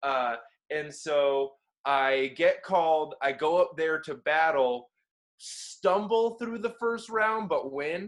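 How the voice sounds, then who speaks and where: A man speaks very slowly with lively intonation. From Florida (Orlando). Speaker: battle rapper and freestyler. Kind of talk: casual interview chat.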